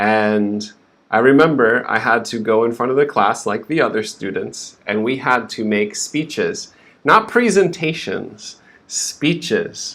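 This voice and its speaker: This man has a plain, everyday voice at a medium pitch. He talks at a fairly slow pace with lively intonation. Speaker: English pronunciation teacher. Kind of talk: live stream lesson. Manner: slow, clear teaching pace.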